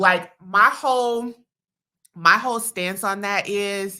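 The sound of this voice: A woman speaks loudly, her tone bright and sharp.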